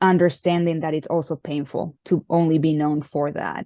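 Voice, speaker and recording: A woman's voice, very deep and low with a dark, mellow tone, stays monotone and flat, recorded dry and close with no echo over a quiet background. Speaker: interview host, former tennis player. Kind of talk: interview host talk.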